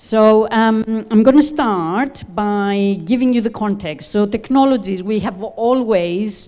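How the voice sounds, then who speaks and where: A woman with a fairly high pitch speaks in a dark, mellow tone at a very slow pace. She uses ordinary pitch variation and hardly any pauses. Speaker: visiting lecturer. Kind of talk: lecture.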